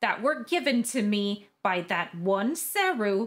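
Music plays behind a woman speaking at a very slow pace. Her fairly high voice has lively intonation. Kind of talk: comedic game parody voiceover. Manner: natural own voice, not lowered.

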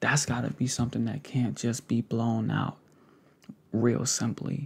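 A man with vocal fry speaks at a moderate pace. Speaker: content creator. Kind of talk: casual vlog chat. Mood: earnest, warm. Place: home room. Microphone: studio mic.

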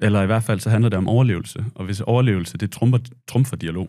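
A man's dark, mellow voice at a fairly quick pace against a quiet background. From Denmark. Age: 30s. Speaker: war veteran and journalist. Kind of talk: casual interview. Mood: reflective, calm. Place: studio. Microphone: studio mic.

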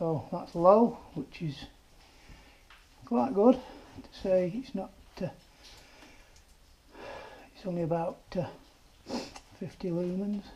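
Long pauses come often in this very slowly paced speech. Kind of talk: casual vlog commentary. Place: tunnel cave. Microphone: camera far.

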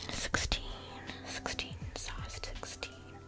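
Someone whispers over faint background music. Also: woman. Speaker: ASMR creator. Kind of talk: casual makeup tutorial talk to camera. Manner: whispered. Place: home room. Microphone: studio mic.

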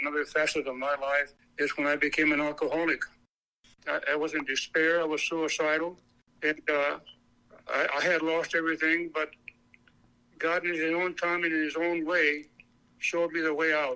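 A man with an American accent and a fairly high pitch speaks in a bright, sharp tone, monotone and flat, at very even loudness with long, frequent pauses. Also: moderate pace. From Arizona. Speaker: parishioner sharing healing story. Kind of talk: testimony. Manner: halting, repeats words.

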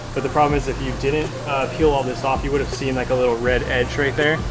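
Clear music plays behind the speaker. He's a man talking at a fairly quick pace. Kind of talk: casual explanation of work. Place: workshop.

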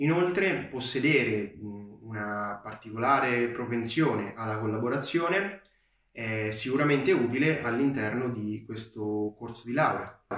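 A man at a fairly slow pace, ordinary pitch variation, audible room echo, quiet background. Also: medium pitch for a man. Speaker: university student. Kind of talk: testimonial.

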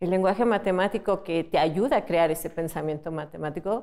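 A woman's fairly low, dark and mellow voice with fairly even intonation over a quiet background. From Mexico. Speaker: teacher. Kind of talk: interview. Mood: warm, encouraging. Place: classroom. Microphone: lapel.

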